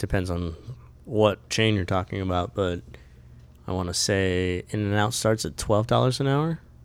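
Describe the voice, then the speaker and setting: Here a man has a normal speaking voice, fairly low in pitch, at a moderate pace. The recording is very clean and the background silent. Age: 30s. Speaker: podcast co-host, musician. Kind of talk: casual chat.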